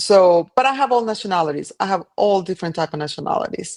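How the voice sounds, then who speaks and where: A woman with a Colombian accent and lively intonation, in a dry, close sound with no echo and a quiet background. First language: Spanish. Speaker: cleaning business owner. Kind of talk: podcast interview.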